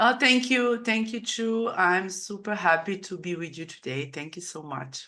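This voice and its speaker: A woman with a Serbian accent speaks at a moderate pace and medium pitch in a bright, sharp tone, with lively intonation, big swings in loudness and hardly any pauses. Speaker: author. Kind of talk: interview. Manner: halting.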